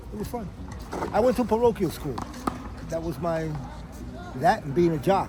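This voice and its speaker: A man's fairly high-pitched voice with an American accent, lively intonation and a fairly quick pace, over noticeable background noise and audible room echo. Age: 60s. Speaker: war veteran. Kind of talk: casual chat.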